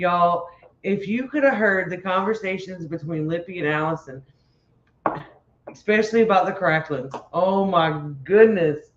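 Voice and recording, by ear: With a Louisiana accent, a woman speaks at a moderate pace in a fairly low pitch, her intonation lively. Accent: Cajun Louisiana.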